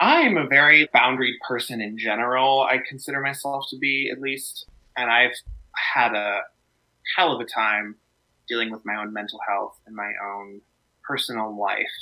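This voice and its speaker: A man speaks at a moderate pace and a medium pitch, with ordinary pitch variation. His loudness swings widely, and his pauses are long and frequent. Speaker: opera singer and content creator. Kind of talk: interview.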